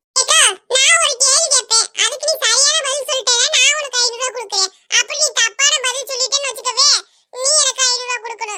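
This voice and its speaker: In a cartoonish character voice, the speaker hits an extremely high pitch at a moderate pace. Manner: blunt, mocking.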